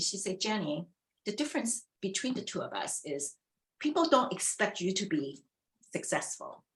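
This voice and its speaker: A somewhat breathy woman with a Chinese accent, moderate in pace, with very wide pitch swings. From China, immigrant to US. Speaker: former retail executive. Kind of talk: fireside chat interview.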